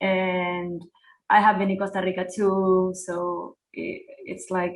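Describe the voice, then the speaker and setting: In a Spanish accent, a woman speaks at medium pitch with monotone, flat intonation. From Uruguay. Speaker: hip hop artist. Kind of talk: interview. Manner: halting.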